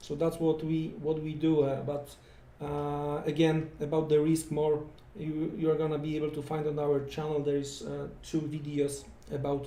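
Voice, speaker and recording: A man's fairly high voice in a non-native accent, flat and monotone, at a moderate pace, with audible room echo. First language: not English. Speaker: forex trading educator. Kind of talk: live trading tutorial. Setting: live stream. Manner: halting, many fillers and repetitions.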